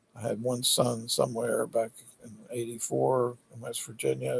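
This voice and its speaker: A man does the talking. His pace is fairly slow. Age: 60s. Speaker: political candidate vlogger. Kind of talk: rambling monologue. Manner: hesitant, filler-heavy.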